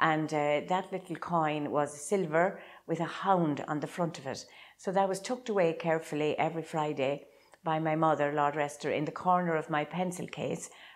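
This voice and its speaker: A woman's very deep, low voice in an Irish Midlands accent, with fairly even intonation. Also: moderate pace. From Ireland, County Laois. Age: 70s. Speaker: traditional Irish dancer. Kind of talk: interview. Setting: old house.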